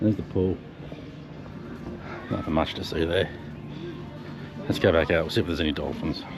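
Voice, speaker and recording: Through noticeable background noise, a man with a very deep, low pitch speaks with fairly even intonation and long, frequent pauses. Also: fairly quick pace. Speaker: travel vlogger. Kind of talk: casual vlog narration. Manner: whispering.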